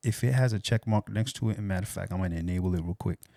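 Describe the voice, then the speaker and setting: A quiet man with a dark, mellow tone and ordinary pitch variation is heard on a very clean recording with a silent background and a dry, close sound with no echo. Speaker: audio production tutor. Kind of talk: tutorial. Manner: speaking low, quiet.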